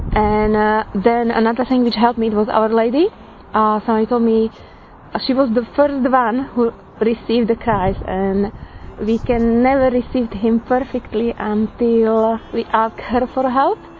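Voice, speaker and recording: In a Slovak accent, a woman talks at a fairly slow pace in a fairly high pitch, her intonation monotone and flat and her loudness very even, with noticeable background noise. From Slovakia. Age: 30s. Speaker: churchgoer giving a personal faith reflection. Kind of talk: testimony. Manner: halting.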